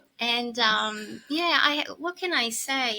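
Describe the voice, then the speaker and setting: Speaking with an Italian accent, a woman uses a high pitch and a bright, sharp tone. Her intonation is lively. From Italy. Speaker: kinesiologist and healing practitioner. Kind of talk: interview. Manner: soft-spoken; hesitant, many fillers.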